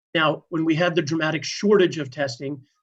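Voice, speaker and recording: Against a quiet background, a man with a fairly high pitch talks at a moderate pace in an ordinary speaking voice. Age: 60s. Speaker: health reporter. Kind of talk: news discussion.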